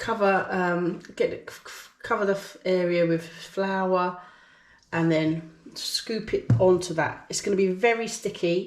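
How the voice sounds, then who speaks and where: A woman with an English accent at medium pitch, fairly even intonation and big swings in loudness, speaking at a fairly slow pace amid audible room echo. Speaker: cooking YouTuber. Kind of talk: casual cooking vlog. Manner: chatty, informal.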